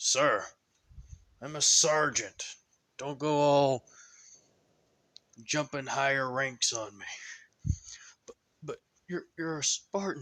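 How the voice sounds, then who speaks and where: A man puts on a character voice, fairly high in pitch and fairly even in intonation. He goes fairly slowly with long, frequent pauses and big swings in loudness. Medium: solo performance. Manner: stammering, nervous.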